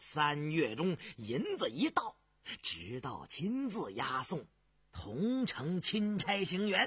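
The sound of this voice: A man's put-on character voice, fairly high in pitch and fairly bright, with a husky, rough edge, very wide pitch swings and a slow pace.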